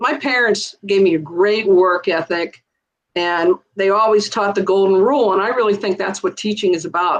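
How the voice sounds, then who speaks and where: With an ordinary speaking voice, a woman talks at a moderate pace and medium pitch, using ordinary pitch variation. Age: 60s. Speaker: retired teacher. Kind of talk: interview conversation.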